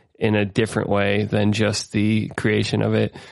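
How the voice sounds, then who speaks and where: Speaking with a Midwestern accent, this man has a fairly low pitch. His pace is fairly slow. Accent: General American (Midwest). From US Midwest (Ohio). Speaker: podcast host, musician. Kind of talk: casual chat. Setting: remote call recording.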